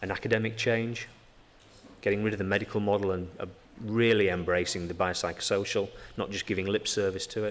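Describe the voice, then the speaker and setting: A man talks very fast in a strong Yorkshire accent. His fairly low voice stays monotone and flat. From Yorkshire, northern England. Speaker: physiotherapist. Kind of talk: conference talk. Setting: stage with audience. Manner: hesitant with many fillers.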